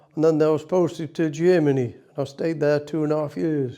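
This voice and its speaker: With a Potteries accent, a man speaks at a fairly high pitch with fairly even intonation against a quiet background. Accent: Potteries (North Staffordshire) English. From Staffordshire, Stoke-on-Trent. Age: 90s. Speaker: war veteran. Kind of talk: interview reminiscence.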